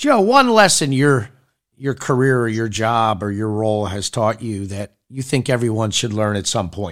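On a very clean recording with a silent background, a man with a normal speaking voice talks at a moderate pace with ordinary pitch variation. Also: medium pitch for a man. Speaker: podcast host. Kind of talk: interview.

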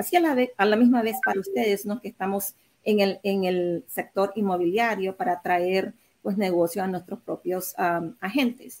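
A woman is speaking at a moderate pace. Her pitch shows ordinary variation. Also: medium pitch for a woman. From Nicaragua. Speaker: real estate agent and mortgage lender. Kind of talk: panel discussion. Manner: halting, with fillers.

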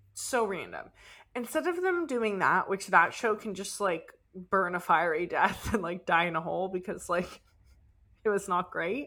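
Bright and sharp in tone, a woman speaks at a moderate pace. Her pitch is medium, with ordinary pitch variation. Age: 20s. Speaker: podcast co-host. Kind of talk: casual chat. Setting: remote recording on camera.

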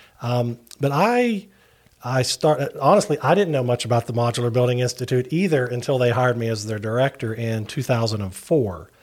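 Speaking in an Appalachian accent, a man keeps a fairly quick pace. His pitch is medium, with ordinary variation. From West Virginia, Wayne County and Huntington. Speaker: non-profit director, industry spokesperson. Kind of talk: casual interview.

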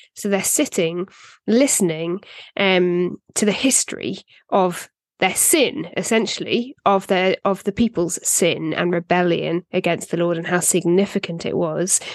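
In a British accent, a woman speaks at a fairly slow pace and medium pitch, with ordinary pitch variation and a dry, close sound with no echo. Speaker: podcast co-host. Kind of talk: casual Bible discussion.

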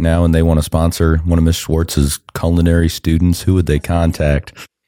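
The speaker is a man with a very deep, low pitch. A dark, mellow tone colors his voice. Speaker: podcast host. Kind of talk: casual interview chat. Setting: studio.

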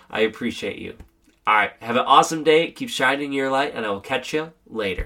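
A man puts on a hoarse character voice at a medium pitch and a fairly quick pace.

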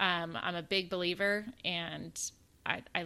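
Her intonation fairly even, a woman with a Southern US accent speaks at a medium pitch. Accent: US South. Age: 40s. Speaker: podcast co-host, mother. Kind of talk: casual chat.

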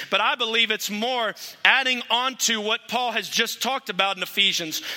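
Over noticeable background noise, a man speaks at an extremely high pitch with fairly even intonation. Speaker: guest preacher. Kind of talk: sermon. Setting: church.

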